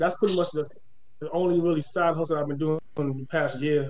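With an American accent, a man talks at a moderate pace in a fairly high pitch, his intonation fairly even against audible room echo. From Boston. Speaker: nonprofit founder. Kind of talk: casual chat.

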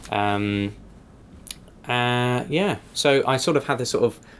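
In an English accent, a man speaks at a medium pitch with fairly even intonation. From England. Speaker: improviser. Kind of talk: casual interview. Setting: podcast.

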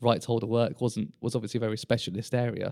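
A man with a British accent speaks at a medium pitch in a dark, mellow tone, the sound dry and close with no echo. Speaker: sports lawyer. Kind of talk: casual professional interview. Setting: law firm boardroom.

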